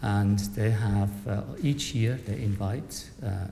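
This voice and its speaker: Soft-spoken and fairly low-pitched, a man talks with ordinary pitch variation over noticeable background noise. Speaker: conversation chair, professor and artist. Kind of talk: panel discussion introduction. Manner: halting. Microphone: speaking into a microphone, quiet.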